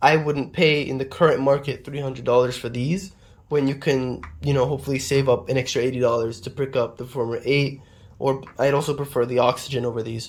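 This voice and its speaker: On a very clean recording with a silent background, a man speaks at a moderate pace in a somewhat breathy, fairly high voice with fairly even intonation. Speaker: audio gear reviewer. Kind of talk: product review.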